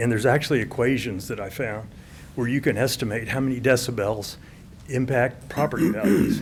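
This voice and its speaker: Amid audible room echo, a man with a somewhat breathy, medium-pitched voice talks at a fairly quick pace, with ordinary pitch variation. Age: 70s. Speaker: retired real estate appraiser speaking at public comment. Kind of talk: public comment at city council meeting. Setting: city council chamber. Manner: fast.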